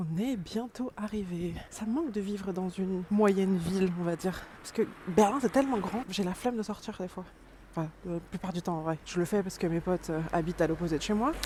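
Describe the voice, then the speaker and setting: Mumbling at a fairly quick pace, a woman of medium pitch talks with ordinary pitch variation over noticeable background noise. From France, Dijon (Burgundy). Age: 30s. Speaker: vlogger. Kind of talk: casual vlog talk. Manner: mumbling, poorly articulated.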